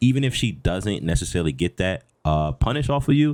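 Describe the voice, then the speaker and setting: A man speaks with music playing in the background. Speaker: gaming content creator. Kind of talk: tutorial. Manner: fast; halting with fillers.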